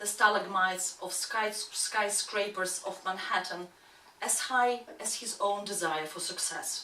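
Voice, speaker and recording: Speaking at a fairly slow pace with fairly even intonation, a woman with a medium pitch swings widely in loudness over noticeable background noise and audible room echo. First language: not English. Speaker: actress. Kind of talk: reading aloud.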